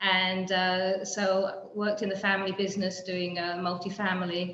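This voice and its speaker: A woman with a London accent speaks at a medium pitch in flat, monotone intonation. Room echo is audible. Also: moderate pace. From England, London. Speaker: real estate developer and builder. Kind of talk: panel discussion. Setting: video call. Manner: halting, many fillers.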